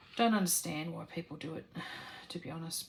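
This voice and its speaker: A soft-spoken woman with an Australian accent and a fairly low pitch, at a moderate pace over noticeable background noise. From Australia, rural New South Wales. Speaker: crafting vlogger. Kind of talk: casual Q&A chat while crafting. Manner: halting, many fillers.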